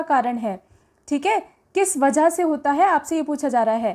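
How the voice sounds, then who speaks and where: A woman speaks at a high pitch with lively intonation. It is a very clean recording with a silent background. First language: English-medium educated, weak Hindi (speaking Hindi). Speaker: teacher, exam prep channel host. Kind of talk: lecture, exam question tutorial. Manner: hesitant fillers, frequent 'ठीक है फ्रेंड्स'.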